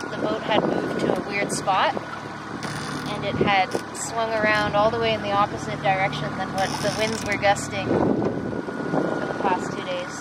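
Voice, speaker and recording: Loud background noise surrounds a woman speaking at a moderate pace, in a dry sound with no echo. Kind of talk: casual vlog chat. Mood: relaxed, smiling. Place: boat. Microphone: camera far.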